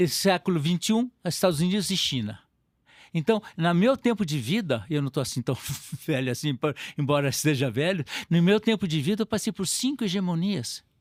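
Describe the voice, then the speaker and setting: The recording is very clean with a silent background, and the speaker's pitch swings very widely. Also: man, high pitch for a man, fairly quick pace, dry, close sound with no echo. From Brazil, São Paulo state. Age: 70s. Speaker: retired diplomat. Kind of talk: interview conversation.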